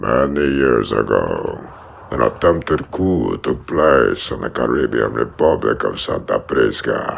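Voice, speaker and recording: The man talks at a fairly slow pace. His voice is a put-on character voice. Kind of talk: audio drama narration.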